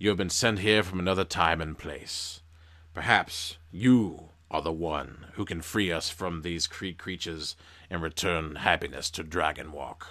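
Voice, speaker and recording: In a quiet, put-on character voice, a man speaks at a very deep, low pitch and a moderate pace with ordinary pitch variation, recorded very cleanly against a silent background. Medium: read story. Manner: quiet, solemn.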